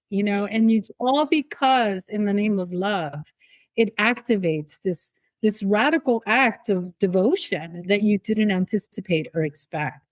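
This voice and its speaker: A woman speaks in an ordinary speaking voice at a medium pitch, with lively intonation and a fairly slow pace. The sound is dry and close, with no echo. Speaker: podcast host. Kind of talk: interview conversation.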